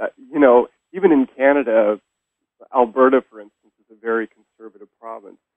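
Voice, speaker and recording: A man with an American accent and an unremarkable speaking voice talks at a fairly quick pace, at medium pitch with ordinary pitch variation. The sound is dry with no echo, the background is quiet, and his loudness swings widely. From Sacramento, California; California. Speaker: professor and poet; professor, poet. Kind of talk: interview.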